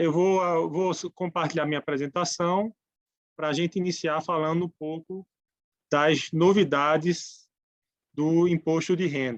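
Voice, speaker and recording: In a dry, close recording with no echo, a man with a northeastern Brazilian accent talks fairly slowly at a high pitch, with fairly even intonation and long, frequent pauses. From Brazilian Northeast. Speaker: tax speaker. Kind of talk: lecture. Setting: webinar. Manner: halting.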